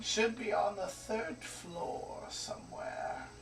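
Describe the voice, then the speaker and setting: Through clear background noise, a man puts on a high-pitched character voice and speaks very slowly. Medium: actual play. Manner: thoughtful, hesitant.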